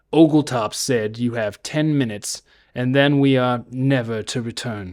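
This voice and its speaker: A man uses a put-on character voice with fairly even intonation. The recording is very clean, with a silent background. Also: medium pitch for a man, moderate pace. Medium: read story. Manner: gruff.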